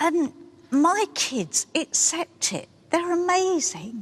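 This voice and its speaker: A woman with an English accent. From England. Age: 60s. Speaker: participant in a social experiment. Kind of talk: interview.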